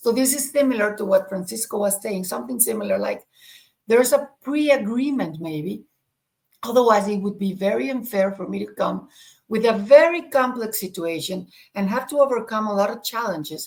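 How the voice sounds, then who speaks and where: This woman speaks at a fairly quick pace in a fairly high pitch, her loudness swinging widely from moment to moment. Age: 60s. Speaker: spiritual podcast co-host. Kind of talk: conversational discussion. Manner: halting, with repetitions.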